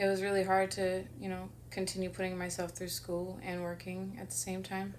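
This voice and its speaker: A woman with an American accent, in audible room echo. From Southern California, San Bernardino County. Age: 40s. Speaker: artist and photographer. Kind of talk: interview. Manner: hesitant, many fillers.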